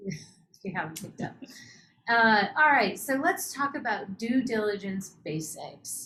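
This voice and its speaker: A woman with a Utah accent speaks at a fairly slow pace in a bright, sharp tone, with lively intonation and big swings in loudness. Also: medium pitch for a woman. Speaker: startup accelerator host. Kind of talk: webinar interview.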